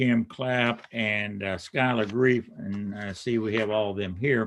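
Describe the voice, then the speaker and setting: A man's fairly low voice in a Kentucky accent, very slow in pace, with fairly even intonation. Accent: Kentucky Southern. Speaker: state supreme court justice. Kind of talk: swearing-in ceremony remarks. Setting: city council meeting, live streamed.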